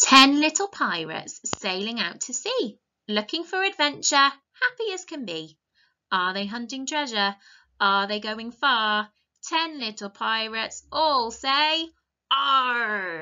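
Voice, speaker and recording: Over a quiet background, a woman talks very slowly in a high pitch, her loudness swinging widely. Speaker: teacher reading a story. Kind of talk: storytime lesson for young children. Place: home room. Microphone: webcam.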